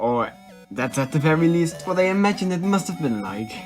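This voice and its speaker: A man's lively, moderately paced speech in a non-native accent, with music in the background. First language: not English. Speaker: video essayist. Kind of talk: video essay narration. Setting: phone recording, no real mic. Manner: casual, sarcastic humor.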